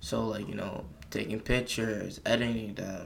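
A man speaks at a medium pitch and a moderate pace, with audible room echo. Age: young. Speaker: podcast host. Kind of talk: solo casual monologue. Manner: casual, hesitant with many fillers.

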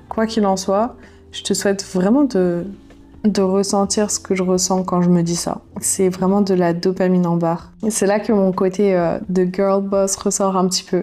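In a monotone, flat intonation, a woman speaks at medium pitch and a fairly slow pace. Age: 20s. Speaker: YouTuber and podcaster. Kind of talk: personal diary monologue. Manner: casual, conversational.

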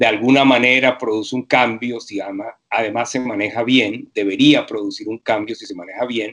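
Speaking at a moderate pace with hardly any pauses, a man with a Venezuelan accent holds a medium pitch and fairly even intonation, though his loudness swings widely. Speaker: university professor. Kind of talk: interview.

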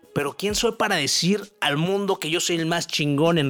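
A man's fairly high voice at a moderate pace, with ordinary pitch variation and music in the background. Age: 20s. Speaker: motivational podcaster. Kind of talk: motivational monologue.

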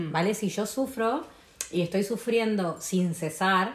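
A woman of medium pitch has an unremarkable speaking voice with ordinary pitch variation. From Argentina, Tucumán. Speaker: podcast guest on astrology and spirituality. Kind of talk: casual chat.

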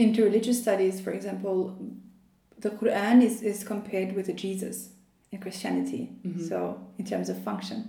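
A woman with an Albanian accent speaks at a fairly quick pace, with monotone, flat intonation. She leaves long, frequent pauses, and audible room echo surrounds her voice. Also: medium pitch for a woman. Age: 20s. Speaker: PhD student in Islamic studies. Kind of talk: interview conversation.

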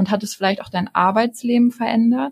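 A somewhat breathy woman speaks with fairly even intonation in a dry, close sound with no echo. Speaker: student and travel blogger. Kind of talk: interview. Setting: studio.

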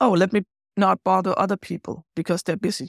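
The voice has vocal fry, ordinary pitch variation and a moderate pace, captured in a very clean recording with a silent background and a dry, close sound with no echo. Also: woman. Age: 50s. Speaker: agile coach. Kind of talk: casual interview chat.

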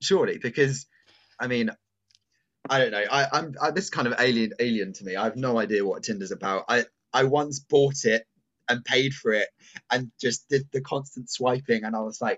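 The man's voice has a fairly bright tone and ordinary pitch variation. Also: medium pitch for a man, moderate pace.

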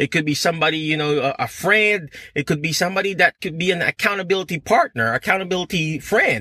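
A man talks at a very fast pace with hardly any pauses, his pitch high. His tone is animated and his pitch varies in an ordinary way. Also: dry, close sound with no echo. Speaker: physical therapist and career coach. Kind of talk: motivational livestream talk. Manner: halting.

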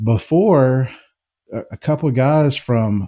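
This man has a dark, mellow tone and an American accent, with ordinary pitch variation. The recording is very clean, with a silent background. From US South, Jackson, Mississippi. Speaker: whiskey filmmaker. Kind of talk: casual interview.

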